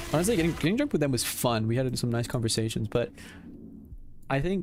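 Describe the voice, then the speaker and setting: A man speaks very fast at a medium pitch, his loudness very even. His tone is animated and his intonation lively. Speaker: gaming streamer. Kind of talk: live stream chat while gaming. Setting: live stream.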